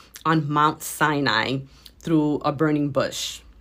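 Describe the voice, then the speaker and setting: A woman speaks with a very deep, low pitch on a very clean recording with a silent background. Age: 40s. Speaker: podcast host and transformation coach. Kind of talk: faith-based motivational talk.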